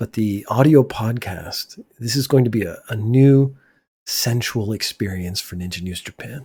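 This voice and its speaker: A man's somewhat breathy, dark and mellow voice, fairly slow, with ordinary pitch variation and big swings in loudness, on a very clean recording with a silent background. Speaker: podcast host. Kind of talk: casual monologue. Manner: near whispering.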